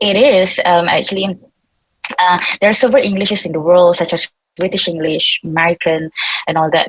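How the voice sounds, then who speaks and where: A woman with a Malaysian accent at a medium pitch, talking at a fairly quick pace in a dry, close sound with no echo. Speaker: seminar panelist, English educator. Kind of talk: online seminar talk. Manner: halting, many fillers.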